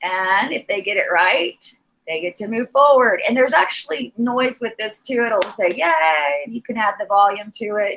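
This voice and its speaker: A woman's fairly high, animated voice with lively intonation at a moderate pace. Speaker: teacher. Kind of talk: teacher training presentation.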